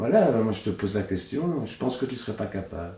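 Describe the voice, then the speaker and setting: With a Belgian accent, a man speaks at a moderate pace in a fairly low pitch. His tone is dark and mellow and somewhat breathy. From Belgium, Hainaut (La Buissière). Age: 30s. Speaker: puppeteer. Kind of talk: casual interview. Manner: casual, hesitant with fillers.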